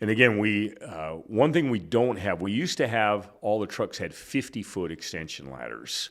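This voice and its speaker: Using an American accent, a man with vocal fry and a fairly low pitch talks at a moderate pace with lively intonation and hardly any pauses. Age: 60s. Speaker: retired fire chief. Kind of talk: casual interview. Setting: hotel room.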